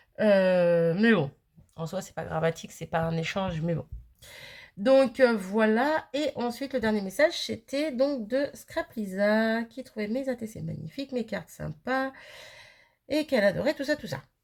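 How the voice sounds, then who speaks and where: A woman's fairly high voice swings widely in pitch and jumps sharply in loudness. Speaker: crafting youtuber. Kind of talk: casual chat. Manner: fast; hesitant, many fillers.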